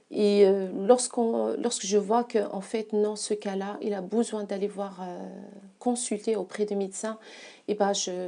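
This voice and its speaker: A woman speaks with a non-native accent at a fairly slow pace. Her medium-pitched voice has a dark, mellow tone and a monotone, flat intonation. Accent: noticeable foreign. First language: not French (speaking French). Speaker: massage therapist. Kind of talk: interview. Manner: halting, many hesitations.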